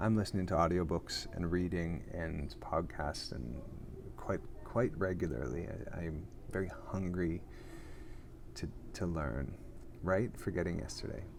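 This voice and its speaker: Audible room echo surrounds a man's very deep, low voice as he speaks at a fairly slow pace with ordinary pitch variation and long, frequent pauses. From Canada. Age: 40s. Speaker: actor and podcast host. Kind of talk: casual live chat. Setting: airport lounge. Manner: casual, with frequent fillers and restarts.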